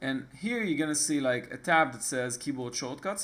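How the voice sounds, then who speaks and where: With an Israeli accent, this man talks at a moderate pace in a fairly high pitch. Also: very clean recording, silent background. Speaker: tech tutorial maker. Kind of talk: tutorial. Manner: casual, with hesitations.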